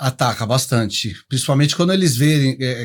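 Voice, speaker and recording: A man speaks at a moderate pace in a somewhat breathy voice. The recording is very clean, with a silent background. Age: 60s. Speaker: professional condo manager. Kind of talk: podcast interview.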